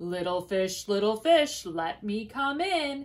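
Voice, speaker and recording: A woman puts on a character voice. Her pitch is medium and her pace fairly slow. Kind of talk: bedtime story. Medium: read story. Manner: menacing, roaring.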